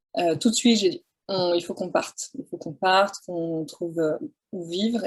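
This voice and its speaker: A woman of medium pitch, with ordinary pitch variation and a moderate pace. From France, countryside. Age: 40s. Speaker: photographer. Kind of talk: interview. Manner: hesitant, many fillers.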